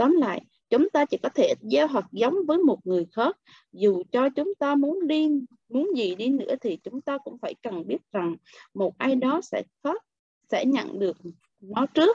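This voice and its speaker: Dry sound with no echo and a quiet background, featuring a woman's high-pitched, dark, mellow voice with very wide pitch swings at a fairly slow pace. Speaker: book club member; book club reader. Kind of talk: reading aloud. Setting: video call. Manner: expressive. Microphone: video call.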